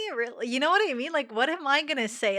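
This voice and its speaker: Bright, sharp tone from a woman with lively intonation, on a very clean recording against a silent background. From Quebec. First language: French. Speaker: podcast co-host. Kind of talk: casual chat. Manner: hesitant, filler-heavy.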